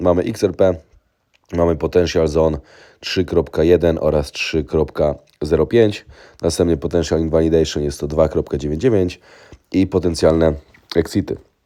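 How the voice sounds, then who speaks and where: The voice moves at a very slow pace with long, frequent pauses, fairly even intonation and a dark, mellow tone. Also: man, very deep, low pitch for a man. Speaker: trading educator. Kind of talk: tutorial.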